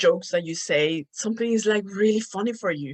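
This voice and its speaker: A woman with a Spanish accent talks at a fairly quick pace with lively intonation. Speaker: podcast host. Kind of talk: casual monologue. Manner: animated.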